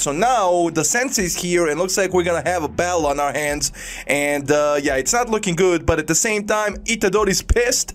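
A man's high-pitched voice with ordinary pitch variation, at a fairly quick pace. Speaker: anime reaction youtuber. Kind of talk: casual reaction commentary. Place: home room. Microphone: studio mic.

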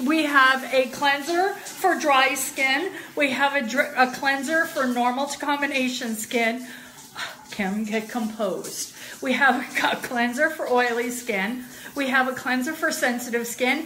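A woman speaks in a raised, projected voice at a fairly slow pace. Light noise sits in the background. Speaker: product seller. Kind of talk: casual product demo livestream. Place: bathroom. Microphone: phone near.

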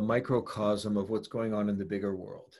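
With an American accent, a man speaks at a moderate pace in a dark, mellow tone against a quiet background. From US West Coast, San Francisco; California. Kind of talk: casual interview conversation. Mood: earnest, reflective. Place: home room. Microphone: video call.

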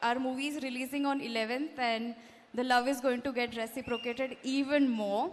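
The voice belongs to a woman. She talks with a non-native accent. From Mumbai, India. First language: not Kannada (speaking Kannada). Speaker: film actress. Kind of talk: public speech at film promotion event.

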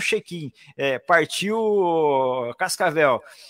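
The background stays quiet. Here a man talks with ordinary pitch variation. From Paraná, Brazil (Maringá); Paraná, Brazil. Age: 60s. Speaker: radio announcer. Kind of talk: casual interview. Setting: video call. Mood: warm, nostalgic storytelling. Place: booth. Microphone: studio mic.

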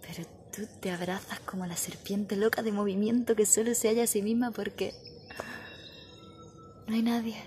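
A woman with monotone, flat intonation, a moderate pace and long, frequent pauses, amid light background noise. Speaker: poetry reciter. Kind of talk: poetry reading. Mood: dramatic, expressive. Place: street. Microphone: phone near.

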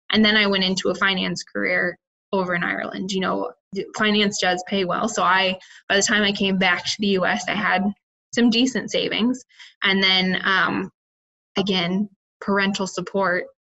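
A woman with vocal fry and a bright, sharp tone speaks in a monotone, flat way, leaving long, frequent pauses. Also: medium pitch for a woman, moderate pace. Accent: American. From Iowa, US Midwest. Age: young. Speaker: entrepreneur, cricket farmer. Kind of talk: interview.

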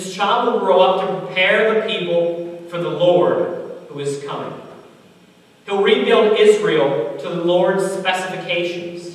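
Strong room echo surrounds a man who speaks at a high pitch and a very slow pace. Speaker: preacher. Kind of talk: sermon. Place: church.

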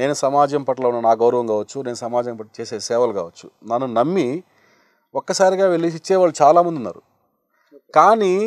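A man speaks with lively intonation and big swings in loudness. The sound is dry with no echo, over a quiet background. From Andhra Pradesh, Nellore district; Andhra Pradesh, India. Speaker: blood donor; interview guest. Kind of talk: interview. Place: studio. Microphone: lapel.

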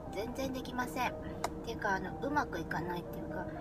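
A woman's voice comes through loud background noise, dry with no echo. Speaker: vlogger. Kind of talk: casual vlog talk to camera. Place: car. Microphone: phone near.

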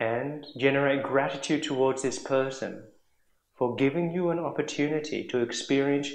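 There is audible room echo as a man with a fairly high pitch speaks in a calm tone and fairly even intonation. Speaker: monk meditation teacher. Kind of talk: guided meditation. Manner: slow, calm, instructive; measured, with long silences between instructions. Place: home room. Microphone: camera far.

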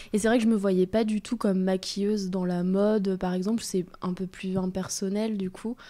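At a moderate pace, a woman speaks at a medium pitch in a dark, mellow tone with monotone, flat intonation. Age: 20s. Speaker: bridal makeup artist and hairdresser. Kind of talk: interview.

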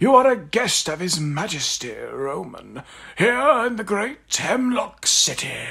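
A man with a high voice projects loudly, his volume rising and falling sharply. His pitch swings very widely at a fairly slow pace. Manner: gentle, wry.

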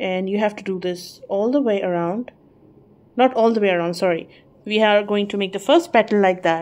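Fairly quick pace from a woman. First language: not English. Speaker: crochet tutorial creator. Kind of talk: tutorial. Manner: halting, hesitant with fillers.

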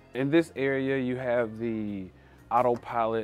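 A man speaks at a fairly slow pace with fairly even intonation, his voice dry with no echo over faint background music. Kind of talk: workplace walkthrough interview. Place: workshop. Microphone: lapel.

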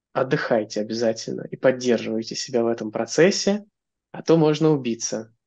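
A man's dark, mellow voice at a fairly quick pace, with lively intonation and big swings in loudness against a quiet background. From Russia, Moscow; Russia. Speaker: software engineer; podcast guest. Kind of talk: interview conversation. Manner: hesitant, many filler sounds. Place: home room. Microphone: video call.

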